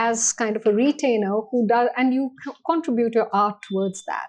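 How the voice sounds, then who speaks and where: A woman with a Tamil accent, fairly high in pitch, at a moderate pace. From India, army upbringing across regions. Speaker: banking executive. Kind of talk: podcast interview.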